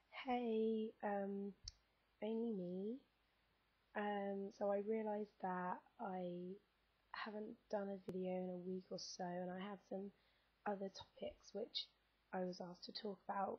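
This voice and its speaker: A somewhat breathy voice moves at a fairly slow pace in a monotone, flat intonation, with long, frequent pauses. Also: woman, medium pitch for a woman. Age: 20s. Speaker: vlogger. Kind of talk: casual vlog monologue. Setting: sitting on bed, camera on lap. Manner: hesitant, many fillers.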